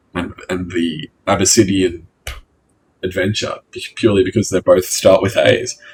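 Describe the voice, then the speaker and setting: A man with an Australian accent talks at a moderate pace. His loudness swings widely. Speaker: gaming youtuber. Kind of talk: let's play commentary. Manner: halting, stumbling over words.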